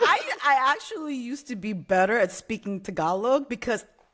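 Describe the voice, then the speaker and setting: Noticeable background noise sits behind a woman's voice. She speaks at a moderate pace with lively intonation. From Hawaii. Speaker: game industry art manager. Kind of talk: interview.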